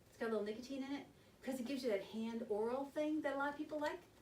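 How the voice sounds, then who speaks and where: Over noticeable background noise, a woman talks at a very fast pace in a high pitch with ordinary pitch variation. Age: 60s. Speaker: hospital smoking cessation counselor. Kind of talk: informal presentation to a group. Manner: conversational, animated.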